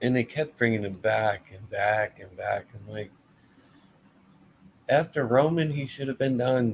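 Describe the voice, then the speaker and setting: A somewhat breathy man at a medium pitch speaks fairly slowly, with ordinary pitch variation, big swings in loudness and long, frequent pauses. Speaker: wrestling podcast host. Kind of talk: casual live-stream review. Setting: live stream with chat.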